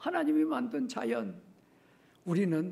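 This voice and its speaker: A man's high-pitched voice. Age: 70s. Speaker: retired pastor. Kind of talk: sermon. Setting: church. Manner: halting, with many fillers; animated, with sound effects.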